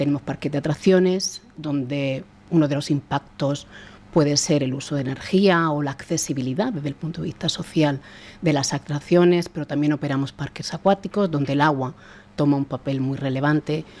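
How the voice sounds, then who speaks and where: A woman with a Murcian accent, a very deep, low pitch, fairly even intonation and a moderate pace. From Spain, Murcia. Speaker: sustainability director. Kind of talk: podcast interview.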